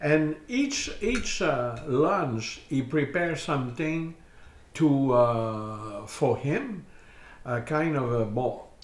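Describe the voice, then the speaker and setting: A man speaks with a French accent and lively intonation. Audible room echo surrounds his voice. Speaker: host's partner. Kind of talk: casual chat. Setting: dinner table at home.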